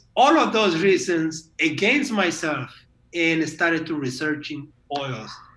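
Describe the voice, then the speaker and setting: The clip carries audible room echo along with noticeable background noise. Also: man. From Guatemala. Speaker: essential oils advocate. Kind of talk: interview. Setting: video call. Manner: halting.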